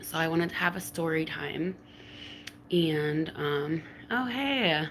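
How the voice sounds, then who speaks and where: A woman's fairly low voice at a very slow pace, with lively intonation and noticeable background noise. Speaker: live streamer. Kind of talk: casual story time. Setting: live stream. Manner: hesitant, filler-heavy.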